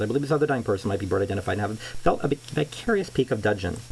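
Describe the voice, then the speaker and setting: Lively intonation comes at a very fast pace over noticeable background noise. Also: man. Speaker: amateur reader. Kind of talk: reading aloud. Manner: halting.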